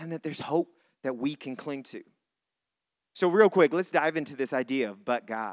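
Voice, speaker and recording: A man's fairly high voice at a moderate pace, with lively intonation, big swings in loudness and long, frequent pauses, in a dry, close sound with no echo. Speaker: pastor. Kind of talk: sermon. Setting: church.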